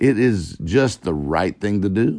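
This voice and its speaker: Against a quiet background, a man with a very deep, low pitch and vocal fry speaks with lively intonation. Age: 40s. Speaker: success coach podcast host. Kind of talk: motivational talk. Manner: animated.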